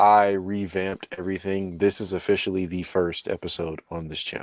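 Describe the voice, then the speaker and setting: Flat and monotone, a man with a very deep, low pitch speaks at a fairly quick pace. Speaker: wrestling podcast host. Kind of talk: casual chat. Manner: casual, filler-heavy speech.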